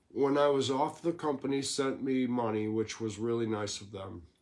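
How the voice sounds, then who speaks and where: A man speaks in an ordinary speaking voice. His pace is moderate and his pitch variation ordinary. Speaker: storyteller. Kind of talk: reading aloud a written life story.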